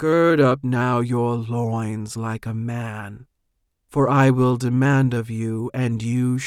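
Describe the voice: The reading is plain and the background is quiet.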